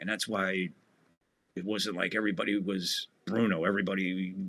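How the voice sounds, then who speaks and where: This man has a New Jersey accent and a very deep, low pitch. His tone is bright and sharp, and he talks at a fairly quick pace. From New Jersey (Asbury Park). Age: 60s. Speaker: wrestling podcast host. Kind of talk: casual chat. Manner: animated.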